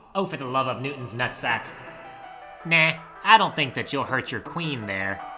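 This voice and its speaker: A put-on character voice at a low-to-middle pitch. Clear music plays in the background. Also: moderate pace. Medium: dub.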